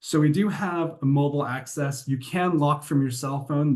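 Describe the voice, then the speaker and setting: His voice has a somewhat breathy quality. The man's pitch varies in an ordinary way. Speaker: software vendor presenter. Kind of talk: product demo. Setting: webinar. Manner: fast.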